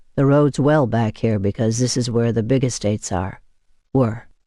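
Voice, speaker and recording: A man in a put-on character voice at a moderate pace, over a quiet background. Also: medium pitch for a man. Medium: read story. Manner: terse, practical.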